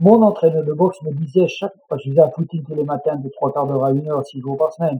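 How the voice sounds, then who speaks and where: Very fast in pace, a man talks at a fairly high pitch. His pitch variation is ordinary. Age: 60s. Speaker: mountain guide and public speaker. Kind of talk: interview.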